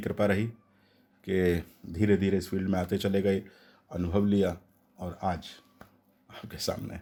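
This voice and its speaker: On a very clean recording with a silent background, a man talks in a fairly low pitch. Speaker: voice over artist. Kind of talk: interview answer.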